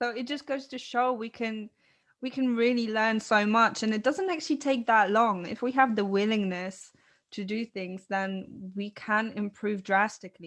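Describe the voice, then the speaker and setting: With a non-native accent, a woman speaks at a moderate pace in a fairly high pitch with ordinary pitch variation. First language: not English. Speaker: podcast co-host. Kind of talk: casual conversation.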